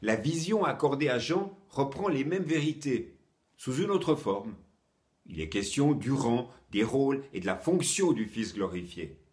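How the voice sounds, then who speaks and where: A man's warm tone with vocal fry, a fairly slow pace and very wide pitch swings. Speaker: preacher. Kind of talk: sermon, short teaching. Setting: home, recorded for online viewers during lockdown. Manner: earnest, warm, encouraging; clear, measured, didactic.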